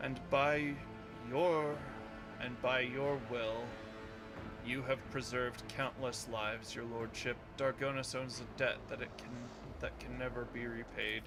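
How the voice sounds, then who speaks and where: Loud background noise surrounds a man doing a put-on character voice at a medium pitch and a fairly slow pace. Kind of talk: formal, archaic. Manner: awed, servile, fawning.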